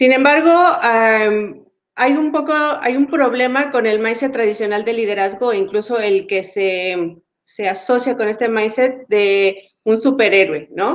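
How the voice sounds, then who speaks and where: With a Mexican accent, a woman talks at a fairly slow pace with lively intonation. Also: fairly high pitch for a woman. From Mexico. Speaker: agile coach and facilitator. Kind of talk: webinar talk.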